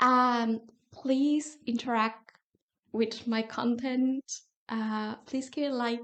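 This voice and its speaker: A woman with a non-native accent speaks at a very slow pace in a high voice. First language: not English. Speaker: YouTuber. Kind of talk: casual vlog talk.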